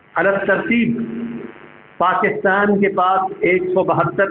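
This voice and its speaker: A man speaks with a high voice. Noticeable background noise can be heard behind him. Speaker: Islamic scholar giving a sermon. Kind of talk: Islamic lecture / sermon (bayan).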